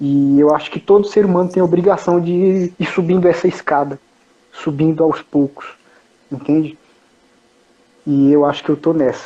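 Keeping a moderate pace, a man with a fairly high pitch and fairly even intonation speaks with long, frequent pauses. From São Paulo, Brazil. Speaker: traveler sharing his journey. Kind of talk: casual interview.

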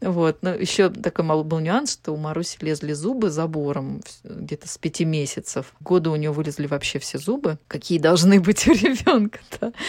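Her fairly low voice shows ordinary pitch variation as the woman speaks. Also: moderate pace. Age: 30s. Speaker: chef and cooking instructor. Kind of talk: casual interview. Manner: halting, with many fillers.

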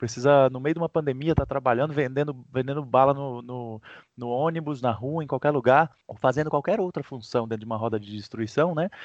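A man's medium-pitched, unremarkable speaking voice at a fairly quick pace with hardly any pauses, ordinary pitch variation and big swings in loudness, over a quiet background. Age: 30s. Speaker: ecosocialist activist. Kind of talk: interview.

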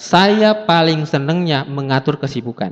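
An animated man at a fairly slow pace, his pitch swinging very widely. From South Sulawesi, Bugis. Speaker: motivational speaker. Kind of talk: motivational seminar talk.

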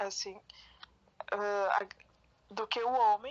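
Her intonation monotone and flat, a woman speaks with a fairly high pitch. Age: 20s. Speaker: podcast co-host. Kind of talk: casual chat.

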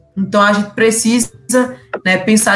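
Noticeable background noise sits behind a woman speaking at a medium pitch. Her intonation is fairly even. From Pernambuco interior, Brazil. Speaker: politician (collective state deputy). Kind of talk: live podcast discussion.

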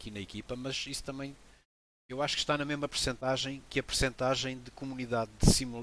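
A man's medium-pitched voice with a European Portuguese accent and fairly even intonation. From Angola, moved to Portugal at 7. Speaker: sim racing team founder, ex motoring journalist. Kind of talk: interview.

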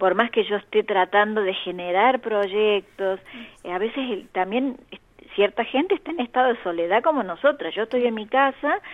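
Her medium pitch and lively intonation give this woman an ordinary speaking voice, delivered at a moderate pace. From Argentina, Córdoba. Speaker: children's author and folklore collector. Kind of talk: interview.

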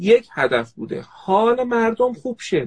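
A man's voice with a dry, close sound and no echo. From Tehran, Iran. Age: 40s. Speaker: organizational psychologist. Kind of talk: casual chat.

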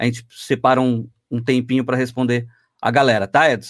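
A man talks at a fairly quick pace in a medium pitch. He has an ordinary speaking voice. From Santos, Brazil. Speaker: podcast host. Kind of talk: casual podcast interview. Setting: online/livestream with chat.

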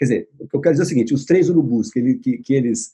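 Somewhat breathy male voice with a dark, mellow tone. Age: 60s. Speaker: visual artist and writer. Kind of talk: casual chat. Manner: halting.

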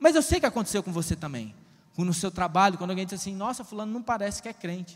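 A man speaks at a very fast pace with a high pitch and lively intonation. His tone is animated, and his loudness swings widely. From Ceará, Brazil (rural interior). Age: 30s. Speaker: preacher. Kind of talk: sermon. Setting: church.

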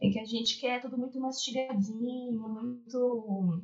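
Fairly even intonation carries a woman's high-pitched voice. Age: 20s. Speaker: image consultant. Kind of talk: casual interview.

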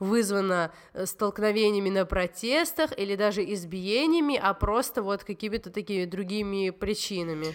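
In an unremarkable speaking voice, a woman talks at a moderate pace with medium pitch and ordinary pitch variation. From Georgia. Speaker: podcast host. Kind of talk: casual interview.

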